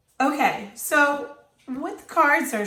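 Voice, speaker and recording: Woman's voice with audible room echo. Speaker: tarot reader. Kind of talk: tarot reading. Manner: hesitant, many fillers.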